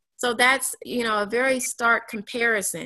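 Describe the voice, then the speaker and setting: This woman speaks with an American accent and fairly even intonation. Her tone is bright and sharp. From Kansas City. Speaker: attorney. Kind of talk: panel discussion. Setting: video call.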